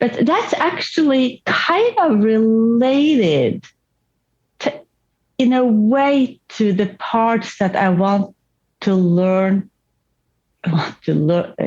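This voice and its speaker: A woman with a non-native accent speaks very slowly, with long, frequent pauses and very even loudness. Her voice is fairly high and somewhat breathy, with lively intonation. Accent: noticeable foreign. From Norway. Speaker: therapy client. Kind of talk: therapy session. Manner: halting, many restarts.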